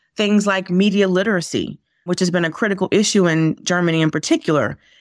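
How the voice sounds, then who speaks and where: A woman has a normal speaking voice at a medium pitch, with ordinary pitch variation and a moderate pace. The very clean recording has a silent background and a dry, close sound with no echo. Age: 40s. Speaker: guest co-host, former school superintendent. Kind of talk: podcast interview and discussion.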